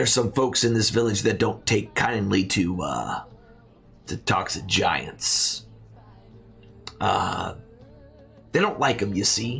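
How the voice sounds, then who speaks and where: A raspy, put-on character voice from a man at medium pitch and a fairly slow pace, with faint music in the background. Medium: actual play. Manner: folksy, rambling.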